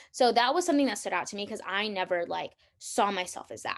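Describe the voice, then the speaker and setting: A woman talks at a very fast pace, with vocal fry. The background is quiet. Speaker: podcast host. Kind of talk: solo podcast talk. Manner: casual, many fillers; loud.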